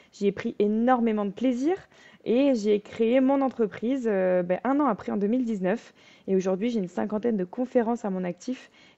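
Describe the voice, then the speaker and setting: Her tone is dark and mellow, and her pitch is fairly high for a woman. This woman speaks at a moderate pace with ordinary pitch variation. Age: 20s. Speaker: fencer and business speaker. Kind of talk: podcast interview.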